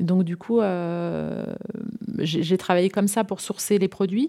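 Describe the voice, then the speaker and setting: A dark, mellow tone comes through at a fairly slow pace with fairly even intonation, in a dry, close sound with no echo and a very clean recording against a silent background. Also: woman. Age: 40s. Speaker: entrepreneur, decoration shop founder. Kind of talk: interview. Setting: at her home. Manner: halting, many hesitations and repeats.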